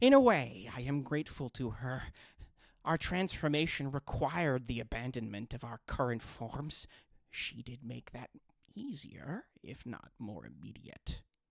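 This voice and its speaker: A put-on character voice speaks at a low-to-middle pitch and a moderate pace. The recording is very clean with a silent background, though hissing is audible. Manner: hissing, grateful.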